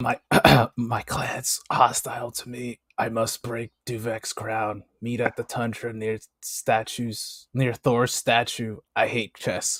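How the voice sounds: At a fairly slow pace, a man does a raspy, put-on character voice at medium pitch.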